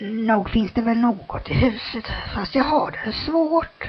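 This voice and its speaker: A woman's raspy, put-on character voice, fairly high in pitch. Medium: read story.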